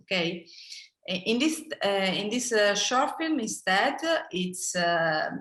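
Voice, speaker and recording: A woman speaks very slowly at medium pitch, her voice bright and sharp with very wide pitch swings. Room echo is audible. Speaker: film director. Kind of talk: interview. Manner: halting.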